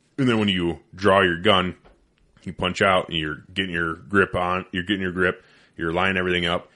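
A man talks at a fairly quick pace in a very deep, low voice. His intonation is monotone and flat. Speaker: podcast host, firearms instructor. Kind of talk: casual chat. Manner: mumbling, doesn't open mouth much.

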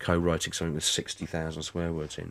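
A man with an English accent speaks at a fairly quick pace in a very deep, low voice, recorded very cleanly against a silent background. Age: 40s. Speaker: stand-up comedian. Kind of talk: interview. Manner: hesitant, many fillers.

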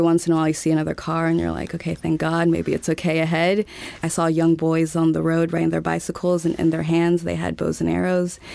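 A woman with an American accent at a fairly quick pace, hardly any pauses, amid noticeable background noise. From US South, Montgomery, Alabama. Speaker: foreign correspondent. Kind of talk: interview.

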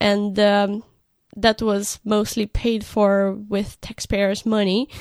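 In a Romanian accent, a woman talks at a very slow pace with fairly even intonation, the sound dry and close with no echo. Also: very clean recording, silent background. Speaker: art director. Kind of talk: casual chat. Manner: giggly.

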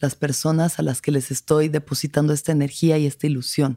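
A woman with a very deep, low pitch and a dark, mellow tone speaks at a moderate pace with fairly even intonation. The sound is dry and close with no echo, recorded very cleanly against a silent background. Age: 30s. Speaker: podcast host. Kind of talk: personal reflective monologue. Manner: casual.

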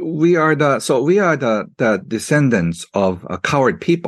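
A man with a Japanese accent talks at a fairly slow pace in a fairly high pitch, his pitch swinging very widely. The background is quiet, and the sound is dry and close with no echo. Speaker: author. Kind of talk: interview. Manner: halting, many fillers and repetitions.

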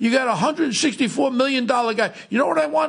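A man with a New York accent talks over noticeable background noise. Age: 60s. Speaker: podcast host, former police officer. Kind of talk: casual chat. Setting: studio. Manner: animated.

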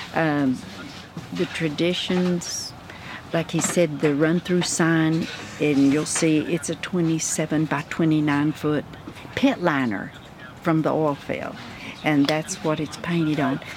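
With a Texan accent, a woman with a very deep, low pitch talks at a very slow pace, with long, frequent pauses, fairly even intonation and noticeable background noise. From West Texas (Odessa). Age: 80s+. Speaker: retired school registrar and substitute teacher. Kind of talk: interview.

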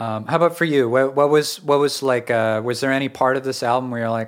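A man with an ordinary speaking voice, medium pitch and fairly even intonation, on a very clean recording with a silent background. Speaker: podcast host and musician. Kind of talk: casual chat about music. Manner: casual, filler-heavy, friendly.

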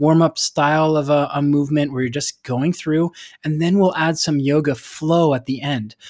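A man with a normal speaking voice, fairly high in pitch, at a fairly quick pace, in a dry, close sound with no echo. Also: quiet background. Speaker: strength and cycling coach. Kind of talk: interview. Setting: remote call. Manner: instructive.

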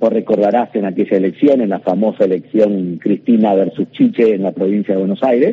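A man speaks with hardly any pauses. His intonation stays fairly even. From Argentina, Rosario (Santa Fe). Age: 40s. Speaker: politician. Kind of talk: radio interview. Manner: hesitant with fillers.

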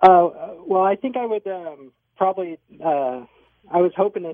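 A man speaks at a moderate pace. He has a plain, everyday voice with ordinary pitch variation. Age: 30s. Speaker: physician assistant and knee surgery patient. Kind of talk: radio interview.

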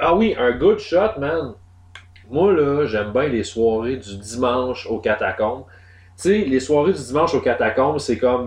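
Speaking very slowly, a man talks in a Quebec accent. His pitch is medium. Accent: Québécois French. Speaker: podcast host. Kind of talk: casual chat.

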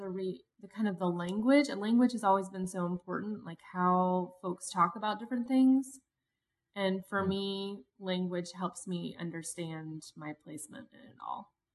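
Using a plain, everyday voice with an American accent, a woman talks at a medium pitch and a moderate pace, with ordinary pitch variation and big swings in loudness. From Cincinnati, Ohio, US Midwest. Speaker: activist and leadership consultant. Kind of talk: casual interview.

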